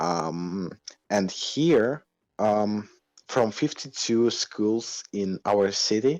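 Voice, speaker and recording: With a non-native accent, a man speaks at a very slow pace in a fairly low pitch with lively intonation over a quiet background. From Moldova. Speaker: indie game developer. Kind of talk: casual interview. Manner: halting, many fillers.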